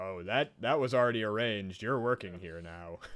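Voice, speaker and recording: A man's put-on character voice, fairly low in pitch, at a moderate pace with ordinary pitch variation. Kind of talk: barked military orders. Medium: actual play. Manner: curt, domineering.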